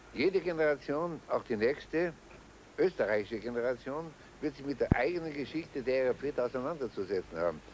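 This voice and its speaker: Against noticeable background noise, the speaker talks at a fairly quick pace. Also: man, fairly high pitch for a man, dry sound with no echo. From Austria. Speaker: retired general, interviewee; interviewee. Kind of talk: interview testimony. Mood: serious, defensive. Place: street.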